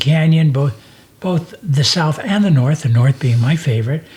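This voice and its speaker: A man talks at a moderate pace with very even loudness while noticeable background noise runs behind him. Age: old. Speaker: podcast host. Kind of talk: casual chat.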